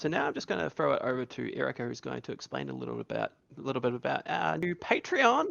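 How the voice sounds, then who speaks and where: A man with a New Zealand accent, at a very fast pace. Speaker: podcast co-host. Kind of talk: casual chat. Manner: animated.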